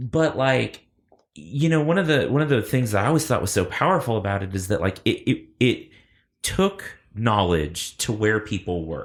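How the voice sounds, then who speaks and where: A man with a medium-pitched, somewhat breathy voice swings very widely in pitch. The recording is very clean with a silent background. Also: moderate pace. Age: 30s. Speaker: podcast host. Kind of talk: casual chat. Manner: animated.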